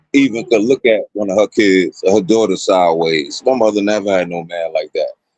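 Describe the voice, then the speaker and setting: Dry and close with no echo, a man's voice moves at a moderate pace with lively intonation. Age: 40s. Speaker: radio host. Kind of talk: casual chat. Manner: animated.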